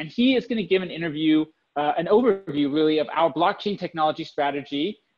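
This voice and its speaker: A man's high voice at a fairly quick pace, with ordinary pitch variation over a quiet background. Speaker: online summit host. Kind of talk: event host introduction. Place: home room. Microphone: webcam.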